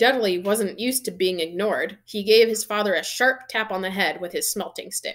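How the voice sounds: Pitch shifting in ordinary measure through a natural reading voice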